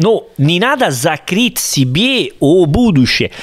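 A high-pitched man with an Italian accent and very wide pitch swings. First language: Italian (speaking Russian). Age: 30s. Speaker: podcast co-host. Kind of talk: casual chat.

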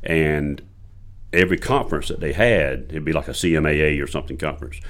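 A man with a Southern US accent talks at a very fast pace in a very deep, low pitch. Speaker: golf course owner and superintendent. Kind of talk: casual interview.

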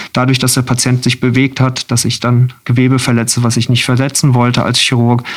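A man at a fairly quick pace with medium pitch, very even loudness, hardly any pauses, monotone, flat intonation, and noticeable background noise. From southern Germany (Freiburg). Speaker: anaesthesiology chief physician. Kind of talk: radio interview.

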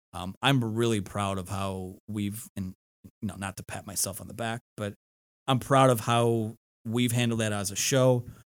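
This man has an unremarkable speaking voice, fairly low in pitch, and talks at a moderate pace with an American accent. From Michigan. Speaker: sports podcast host and producer. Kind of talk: casual sports talk interview. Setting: studio.

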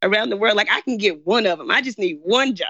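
In an American accent, a woman uses a plain, everyday voice at a medium pitch with ordinary pitch variation. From US South, Memphis, Tennessee. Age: 20s. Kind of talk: interview.

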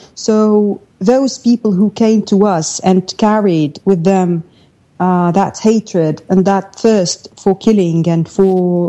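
A woman with an Arabic accent, medium pitch and a dark, mellow tone, speaking at a very slow pace with fairly even intonation. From Syria (Daraa region). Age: 30s. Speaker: journalist and editor. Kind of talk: live radio interview. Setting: remote live link from Damascus.

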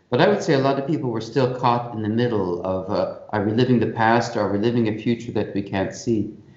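Audible room echo surrounds a man speaking very fast with ordinary pitch variation. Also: medium pitch for a man, hardly any pauses. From Canada, Toronto. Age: 60s. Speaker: Jesuit priest and institute rector. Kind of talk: interview.

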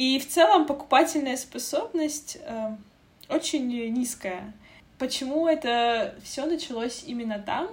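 Speaking at a very slow pace, a woman uses a high pitch with ordinary pitch variation. Her speech is broken by long, frequent pauses. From Russia, North Caucasus region. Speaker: podcast host. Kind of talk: interview. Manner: animated.

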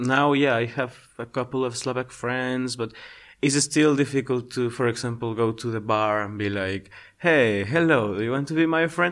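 A man speaks at a moderate pace and a medium pitch. His pitch varies in an ordinary way against a quiet background. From Ecuador, Quito. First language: Spanish. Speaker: volunteer teacher. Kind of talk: interview. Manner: hesitant, many fillers.

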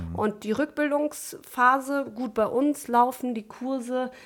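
Speaking at a very slow pace is a woman. Her pitch shows ordinary variation. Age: 30s. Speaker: physiotherapist. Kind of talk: interview.

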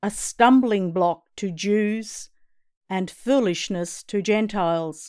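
A woman with a medium pitch is heard on a very clean recording with a silent background. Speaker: lector reading scripture. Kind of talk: reading aloud.

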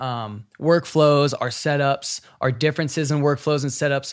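The recording is very clean, with a silent background. Speech moves at a moderate pace. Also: man. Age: 20s. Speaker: podcast co-host, music producer and audio engineer. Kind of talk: casual chat. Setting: pool room.

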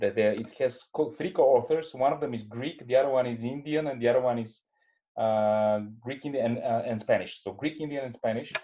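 A man's medium-pitched voice at a moderate pace, with ordinary pitch variation. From Bulgaria, Sofia. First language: Bulgarian. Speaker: business executive. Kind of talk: interview. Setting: video call.

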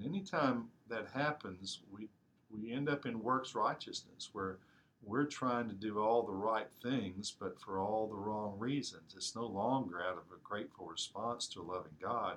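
A man with an ordinary speaking voice talks at a moderate pace, his fairly low pitch showing ordinary variation. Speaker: pastor. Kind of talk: interview.

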